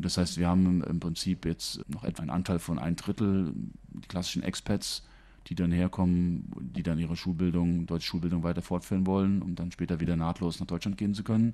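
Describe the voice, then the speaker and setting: A man speaks at a fairly quick pace in a very deep, low pitch, with a dark, mellow tone and fairly even intonation. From Germany. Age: 50s. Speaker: school principal. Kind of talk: interview. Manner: hesitant with fillers. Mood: friendly, calm. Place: office.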